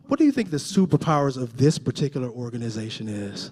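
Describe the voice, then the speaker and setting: Pitch swings very widely as a man speaks in an animated tone. He goes at a fairly quick pace and sounds somewhat breathy. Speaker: motivational speaker. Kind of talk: motivational talk.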